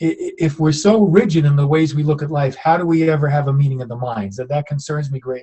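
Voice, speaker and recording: A very fast, somewhat breathy man's voice, fairly high in pitch. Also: ordinary pitch variation, hardly any pauses. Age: 70s. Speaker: author and professor. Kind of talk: interview conversation. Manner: halting with repetitions.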